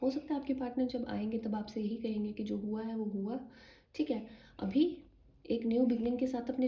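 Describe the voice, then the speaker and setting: Soft-spoken, a woman talks in a high pitch with a dark, mellow tone. Her intonation stays fairly even. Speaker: tarot card reader. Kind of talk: tarot reading for viewers. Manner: soft-spoken, low volume.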